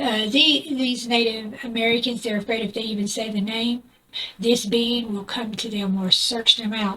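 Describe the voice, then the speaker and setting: A woman with a Southern US accent speaks at a fairly high pitch and with fairly even intonation. Noticeable background noise runs under her voice. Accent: southern US drawl. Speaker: YouTuber. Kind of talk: casual storytelling vlog. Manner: hesitant, with fillers.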